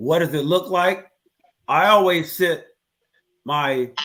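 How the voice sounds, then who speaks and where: Very slow in pace, a man speaks with a bright, sharp tone. His pitch is fairly high, with ordinary variation. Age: 60s. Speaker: father in a discussion panel. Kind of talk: casual chat. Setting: live stream.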